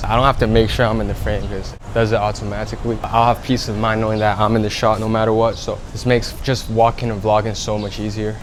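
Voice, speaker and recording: Talking at a very fast pace in a medium pitch, a man is heard with audible room echo and noticeable background noise. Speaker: beginner vlogger. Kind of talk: casual vlog. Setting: outdoors in a city. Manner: stutters at times; quiet, not loud.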